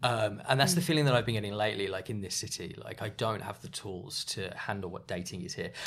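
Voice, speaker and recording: With an English accent, a man rattles along at a very fast pace with hardly any pauses, his fairly low voice rising and falling in lively intonation. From England, small town. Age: 30s. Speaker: podcast guest. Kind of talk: casual chat. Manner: animated.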